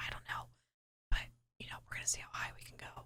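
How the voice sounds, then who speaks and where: Someone whispers at a very fast pace. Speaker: ASMR content creator and gamer. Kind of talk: casual voiceover commentary over gameplay. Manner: soft, whispering.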